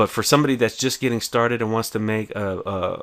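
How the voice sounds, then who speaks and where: Fairly even in intonation, a man speaks at a fairly quick pace with a fairly low pitch. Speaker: small business educator. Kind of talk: screen-share tutorial. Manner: fast; casual, filler-heavy.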